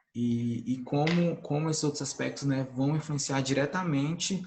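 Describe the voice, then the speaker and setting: A man talks with a somewhat breathy, fairly high voice and fairly even intonation. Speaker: agronomist engineer, conference speaker. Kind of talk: online conference talk. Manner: fast; hesitant, many fillers.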